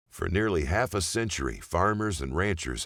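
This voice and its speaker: At a moderate pace, a man talks with lively intonation while music plays in the background. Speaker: documentary narrator. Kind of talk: corporate narration.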